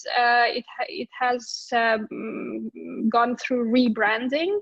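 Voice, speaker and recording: A woman's high-pitched voice. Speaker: service design consultant. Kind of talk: conference talk. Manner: halting, many fillers.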